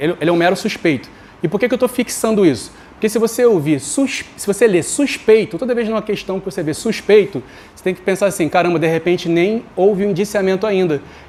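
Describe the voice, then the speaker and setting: A high-pitched man talks at a very fast pace. His pitch varies an ordinary amount, while his loudness swings widely. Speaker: law teacher for exam prep. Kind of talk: online lecture. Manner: informal, conversational.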